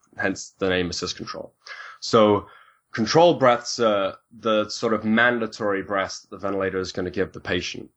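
Speaking with a British accent, a man with a fairly low voice swings widely in loudness. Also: ordinary pitch variation, moderate pace. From UK. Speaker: respiratory therapist. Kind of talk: interview, technical explanation.

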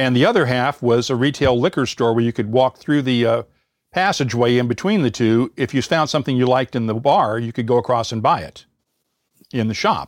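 At a fairly quick pace, a man talks at a medium pitch with ordinary pitch variation, the sound dry and close with no echo. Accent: Midwestern US. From US Midwest, Indiana. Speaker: podcast host and former radio reporter. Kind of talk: interview. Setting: online call.

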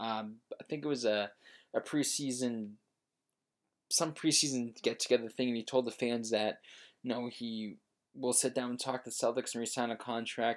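A man at a medium pitch with monotone, flat intonation, a moderate pace and long, frequent pauses, in a very clean recording with a silent background. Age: 20s. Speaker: sports podcast host. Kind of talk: solo sports talk. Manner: halting, many filler words.

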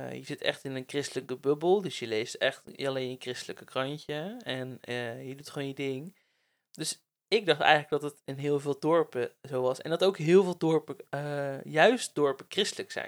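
This man has an ordinary speaking voice, fairly high in pitch, with ordinary pitch variation and big swings in loudness. His pace is moderate, and the recording is very clean with a silent background. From Netherlands, Bible Belt village (Werkendam). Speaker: podcast host. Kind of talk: casual chat. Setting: on a couch at home.

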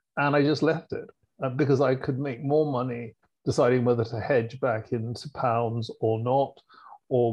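A man with a British accent at a medium pitch and moderate pace, his intonation fairly even. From England. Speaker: fund manager. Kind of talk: casual chat.

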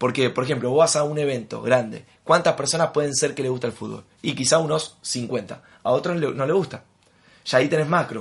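Speaking fairly quickly with vocal fry, a man with a Rioplatense accent has a fairly high pitch. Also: ordinary pitch variation. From Argentina. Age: 20s. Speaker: network marketing leader. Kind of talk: interview.

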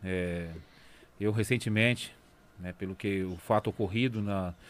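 A man speaks with fairly even intonation. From interior São Paulo state, Brazil (raised Bebedouro area). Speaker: community project leader. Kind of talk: interview testimony.

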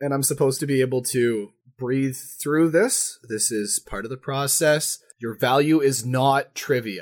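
In a Manitoba accent, a man speaks at a fairly slow pace and medium pitch with ordinary pitch variation. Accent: Manitoban Canadian, noticeable. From Manitoba, Canada. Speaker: podcast co-host. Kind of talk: casual banter podcast chat.

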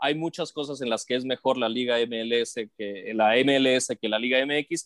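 A man speaking at a fairly slow pace. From northern Mexico, Matamoros, Tamaulipas. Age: 40s. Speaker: sports broadcaster. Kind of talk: casual interview. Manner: halting, many repetitions.

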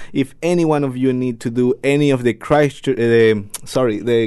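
With a Spanish accent, a man speaks at a moderate pace. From Ecuador. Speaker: radio host. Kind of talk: casual radio chat. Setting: studio.

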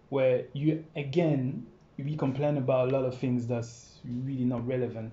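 This man talks at a moderate pace in a medium pitch, his voice somewhat breathy and his intonation fairly even. Audible room echo is present. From France. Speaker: dancer and entrepreneur. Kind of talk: casual chat.

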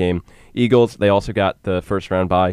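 Very deep and low, a man's voice moves at a fairly quick pace with fairly even intonation, sounding dry and close with no echo. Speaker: sports podcast co-host. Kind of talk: casual chat.

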